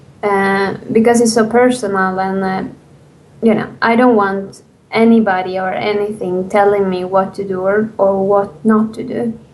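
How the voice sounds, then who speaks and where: A woman's medium-pitched voice with a non-native accent, monotone, flat intonation, a moderate pace and audible room echo. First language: not English. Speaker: indie game developer. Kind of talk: interview. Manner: halting.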